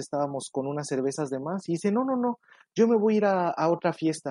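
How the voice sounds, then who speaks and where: A man with a Mexican accent speaks at a moderate pace in a dark, mellow tone. The sound is dry and close with no echo, over a quiet background. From Mexico. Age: 20s. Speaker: news correspondent. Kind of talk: interview.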